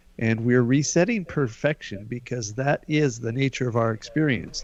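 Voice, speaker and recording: A man speaks at a moderate pace in a normal speaking voice, at medium pitch with ordinary pitch variation. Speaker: healer. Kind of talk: guided healing exercise.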